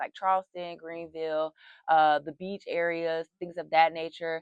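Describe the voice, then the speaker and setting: This woman speaks with a Southern accent at a fairly low pitch. The sound is dry and close, with no echo. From US South. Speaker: university student. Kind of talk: interview.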